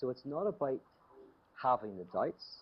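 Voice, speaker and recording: This man talks with a Northern Irish accent. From Northern Ireland, Belfast. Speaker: theologian and speaker. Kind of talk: talk with Q&A. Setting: video call from home. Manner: conversational, with frequent fillers.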